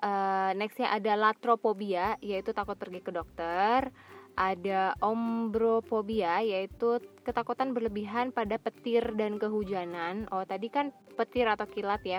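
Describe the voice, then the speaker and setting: Hers is a plain, everyday voice: a woman at a medium pitch and a fairly slow pace with fairly even intonation, in a very clean recording with a silent background and a dry, close sound with no echo. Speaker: solo podcaster. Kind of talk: reading aloud; casual monologue. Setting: in a car.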